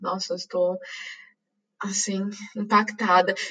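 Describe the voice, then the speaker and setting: A woman's medium-pitched voice, very slow, with a São Paulo accent. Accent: Brazilian Portuguese, São Paulo. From Brazil, São Paulo (East Zone). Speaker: podcast host. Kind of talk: casual interview chat.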